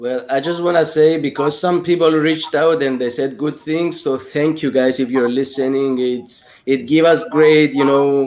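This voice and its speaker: Noticeable background noise sits behind a man with a fairly high pitch and fairly even intonation, speaking at a moderate pace with hardly any pauses. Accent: Greek. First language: Greek. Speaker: film director. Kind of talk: casual chat.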